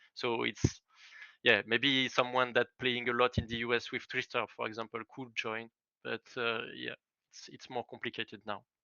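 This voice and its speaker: Here a man with a French accent speaks at a medium pitch and a moderate pace. His intonation stays monotone and flat while his loudness swings widely. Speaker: esports team founder. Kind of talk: interview. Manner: halting, many fillers.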